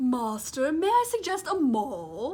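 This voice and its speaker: A woman uses a put-on character voice, high in pitch with very wide pitch swings. She speaks at a fairly slow pace. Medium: read story.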